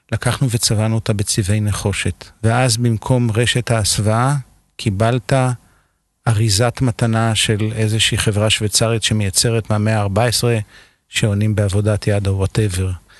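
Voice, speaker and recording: A man with a fairly low pitch speaks at a fairly slow pace in a flat monotone, his loudness very even, with a dry, close sound, no echo and a quiet background. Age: 50s. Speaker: architect. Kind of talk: casual chat.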